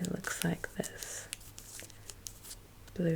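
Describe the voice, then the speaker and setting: Soft-spoken with a gentle tone, a woman speaks at a very slow pace over noticeable background noise. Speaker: ASMR creator. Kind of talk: ASMR unpacking commentary. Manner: soft-spoken, slow, gentle.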